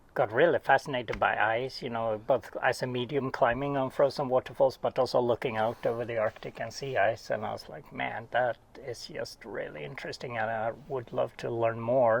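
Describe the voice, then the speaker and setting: In a Swedish accent, a man talks at a medium pitch with fairly even intonation. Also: moderate pace. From Sweden. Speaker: oceanographer. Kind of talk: casual interview. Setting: at home.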